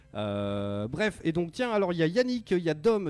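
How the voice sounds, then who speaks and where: Very wide pitch swings from a male speaker, with noticeable background noise behind. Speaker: radio host of a video game show. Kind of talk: casual live radio chat. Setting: radio studio, live broadcast.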